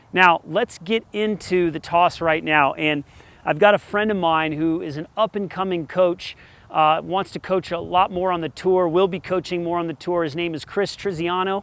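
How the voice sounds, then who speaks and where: A man speaks with an American accent at a moderate pace, his pitch high for a man. The sound is dry and close, with no echo. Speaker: tennis coach. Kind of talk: tutorial. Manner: animated.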